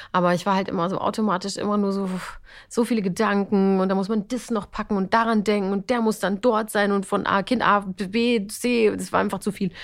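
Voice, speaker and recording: In a very clean recording with a silent background, a woman talks at a fairly quick pace with monotone, flat intonation. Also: medium pitch for a woman. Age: 40s. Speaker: TV and radio presenter. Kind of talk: casual chat.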